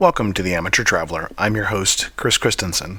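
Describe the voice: Putting on a character voice, a man speaks fairly quickly in a hoarse, strained, raspy, fairly low tone with fairly even intonation.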